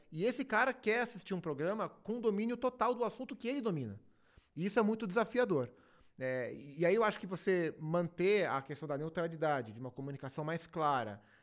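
Very clean recording, silent background, of a man's high voice with very wide pitch swings at a fairly quick pace. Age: 30s. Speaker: TV sports commentator. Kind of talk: casual chat.

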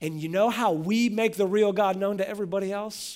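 On a very clean recording with a silent background, a man with a high pitch talks at a fairly quick pace with very wide pitch swings. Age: 40s. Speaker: pastor. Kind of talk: sermon.

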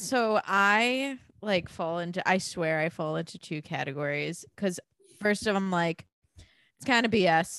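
Speaking at a fairly slow pace, a woman with an unremarkable speaking voice holds a medium pitch with ordinary pitch variation and big swings in loudness. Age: 20s. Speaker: podcast co-host guest. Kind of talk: casual chat.

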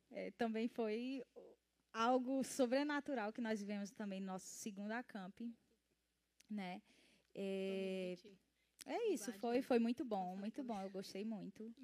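A woman with a fairly high voice speaks at a fairly slow pace with long, frequent pauses and ordinary pitch variation, the sound dry and close with no echo. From Ceará, Brazil (rural Acaraú). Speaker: church ministry member. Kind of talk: casual interview on a church livestream. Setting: livestream. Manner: frequent fillers (né).

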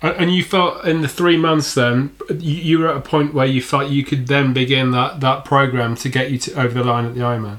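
A man talking at a fairly quick pace with hardly any pauses, fairly even intonation, and noticeable background noise. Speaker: podcast co-host. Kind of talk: casual interview.

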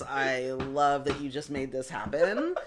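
A woman with a very deep, low voice speaks at a very slow pace over noticeable background noise. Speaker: theater podcast co-host. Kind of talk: casual chat.

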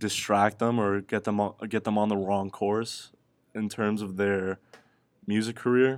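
In a very clean recording with a silent background, a man with an unremarkable speaking voice talks fairly slowly at a fairly low pitch. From Miami, Florida (Cuban-American family). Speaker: podcast co-host, college student. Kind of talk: casual chat.

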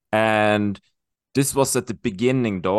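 A man with a Swedish accent speaks at a medium pitch. The sound is dry and close with no echo, over a quiet background. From Sweden. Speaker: health coach and ultra cyclist. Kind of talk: interview. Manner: halting.

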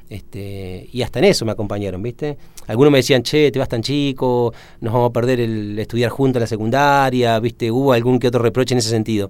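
A man speaks at a very fast pace. His voice sits at a medium pitch with fairly even intonation. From Argentina, Entre Ríos. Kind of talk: radio interview. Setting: radio studio. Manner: hesitant, many fillers.

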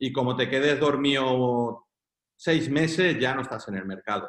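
A man with an ordinary speaking voice speaks at a medium pitch. He goes at a fairly slow pace with ordinary pitch variation. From Catalonia, Spain (Girona). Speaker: entrepreneur. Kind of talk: interview.

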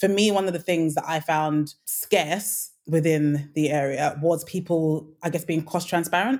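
A speaker with a London accent talks at a fairly slow pace with hardly any pauses, very even loudness and ordinary pitch variation. The recording is very clean, with a silent background. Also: woman, fairly low pitch for a woman. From Nigeria. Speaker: home renovation influencer. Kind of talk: casual interview.

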